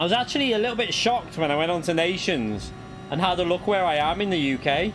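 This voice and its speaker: Over music in the background, a man speaks at a very fast pace and a high pitch, with lively intonation and very even loudness. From northern England, Runcorn near Liverpool (moved from Kent at seven). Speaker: sim racing streamer. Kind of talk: live gaming stream chat. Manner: casual, halting with self-corrections.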